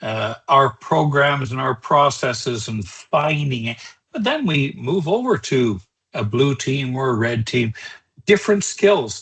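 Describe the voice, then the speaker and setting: This man has a normal speaking voice with a fairly high pitch. He talks at a fairly slow pace with lively intonation. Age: 60s. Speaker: cybersecurity trainer. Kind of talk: webinar lecture. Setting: online webinar. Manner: conversational, with filler words.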